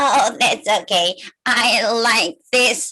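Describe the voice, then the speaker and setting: A female-sounding voice, fairly high in pitch, performs a put-on character voice. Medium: read story.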